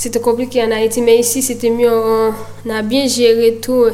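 The speech comes at a fairly slow pace with audible room echo. Noticeable background noise runs underneath. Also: woman. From Haiti (Miragoâne). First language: Haitian Creole (speaking French). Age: 20s. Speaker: footballer. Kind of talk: interview. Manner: halting.

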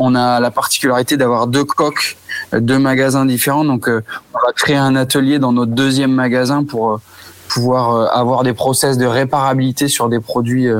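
Over noticeable background noise, a man talks at a moderate pace in a medium pitch, his intonation monotone and flat and his loudness very even. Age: 30s. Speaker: store manager. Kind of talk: interview.

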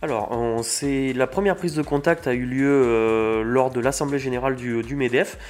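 A man talks in a plain, everyday voice at a medium pitch and a moderate pace, with ordinary pitch variation and hardly any pauses. The recording is very clean, with a silent background. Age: 20s. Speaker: packaging company manager, engineer. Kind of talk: interview. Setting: recorded on location at a business meeting venue.

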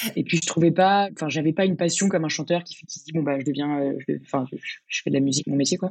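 A woman's very deep, low voice with fairly even intonation and big swings in loudness. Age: 20s. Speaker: restaurant manager, former law student. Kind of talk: interview conversation. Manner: hesitant, many fillers.

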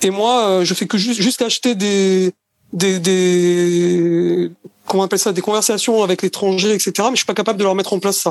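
A man with a high pitch talks at a moderate pace, his intonation fairly even and his loudness very even. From France, Marseille. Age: 50s. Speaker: sales trainer. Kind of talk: interview. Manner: hesitant, many fillers.

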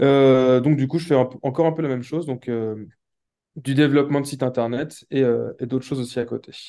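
At a fairly quick pace, a man talks in a medium-pitched voice with a dark, mellow tone and fairly even intonation. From Brittany, France. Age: 20s. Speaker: web developer and investor. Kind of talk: interview. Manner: halting, many fillers.

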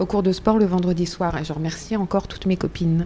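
Using an ordinary speaking voice, a woman talks at a medium pitch whose variation is ordinary. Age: 50s. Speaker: cancer patient, association member. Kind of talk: testimony.

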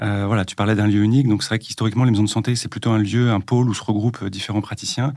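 The recording is very clean, and the background is silent. A man talks with fairly even intonation in a fairly low pitch. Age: 40s. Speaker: general practitioner. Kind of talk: casual interview. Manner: hesitant, many fillers.

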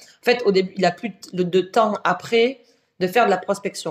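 In an ordinary speaking voice, a woman at a medium pitch speaks at a moderate pace with ordinary pitch variation. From southern France. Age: 30s. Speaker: entrepreneur, agency founder. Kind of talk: podcast interview. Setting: at the guest's office.

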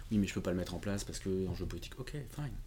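Speaking very fast in a very deep, low voice, a man sounds somewhat breathy, with ordinary pitch variation and audible room echo. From France, Portuguese family. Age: 40s. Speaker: independent IT consultant. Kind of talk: interview conversation.

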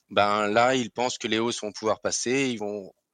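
Fairly quick and fairly even in intonation, a man speaks at a medium pitch. The background is quiet. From Alsace, France. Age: 30s. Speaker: finance sales professional. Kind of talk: interview. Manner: hesitant, with fillers.

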